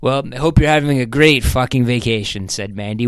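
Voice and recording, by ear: The words are spoken aloud as a reading, in a natural voice.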